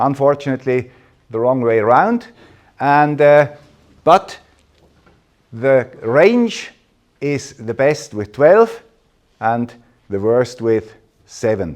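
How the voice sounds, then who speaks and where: Speaking at a very slow pace, a man leaves long, frequent pauses. His pitch is medium and his intonation lively. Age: 60s. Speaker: radio amateur and tech presenter. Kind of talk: conference talk. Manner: halting.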